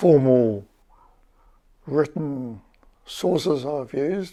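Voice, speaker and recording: Here a man speaks with a New Zealand accent. His voice is fairly high in pitch, with a dark, mellow tone. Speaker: retired academic and local historian. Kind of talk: casual educational talk.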